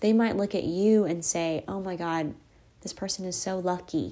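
On a very clean recording with a silent background, a woman speaks at a fairly slow pace in a fairly low, dark, mellow voice with fairly even intonation. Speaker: podcast host, manifesting coach. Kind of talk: solo podcast monologue, guided self-help talk. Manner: calm, gentle, reassuring.

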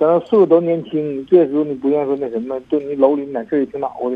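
Moving at a fairly quick pace, a man speaks with a fairly high pitch and fairly even intonation. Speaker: pigeon racing worker. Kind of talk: phone-in confession. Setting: phone call. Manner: fast; mumbling.

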